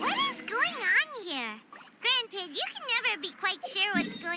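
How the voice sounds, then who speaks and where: An extremely high, squeaky put-on character voice leaps through very wide pitch swings. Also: moderate pace. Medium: video game. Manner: energetic, chatty.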